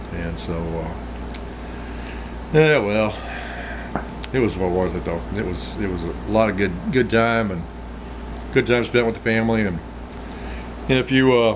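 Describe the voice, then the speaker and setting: Amid audible room echo and noticeable background noise, a man with a fairly low pitch talks at a moderate pace with lively intonation and long, frequent pauses. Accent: American. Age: 60s. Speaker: outdoors vlogger. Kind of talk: casual chat. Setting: smoking a pipe while talking. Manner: rambling conversational, frequent repetitions.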